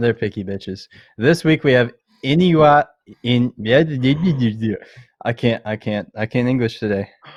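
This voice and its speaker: A man with a Canadian accent speaks at a moderate pace, with medium pitch and ordinary pitch variation. His is an unremarkable speaking voice, set against a quiet background. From Canada. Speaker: podcast host. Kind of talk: casual chat.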